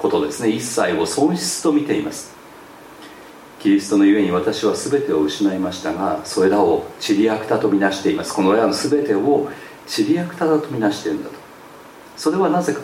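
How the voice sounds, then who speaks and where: A man's voice rises and falls in very wide pitch swings, with noticeable background noise and audible room echo. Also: medium pitch for a man, fairly quick pace. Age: 60s. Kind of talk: sermon.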